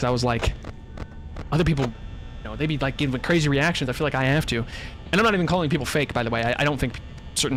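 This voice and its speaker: Very rapid male speech against noticeable background noise. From US Midwest. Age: 20s. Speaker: gaming streamer. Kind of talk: live gameplay commentary. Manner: fast; not loud, reserved reactions.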